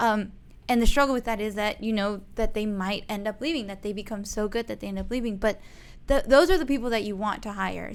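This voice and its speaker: Talking at a very fast pace, a woman is heard. Her intonation stays fairly even. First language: not English. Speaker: real estate agent, podcast co-host. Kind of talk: casual chat.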